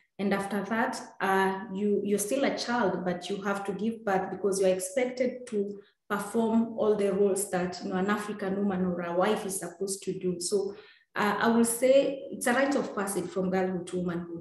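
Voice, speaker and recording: Female speech at medium pitch, fairly even in intonation, with audible room echo. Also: moderate pace. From Kenya, Maasai community. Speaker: human rights activist and author. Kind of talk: interview answers.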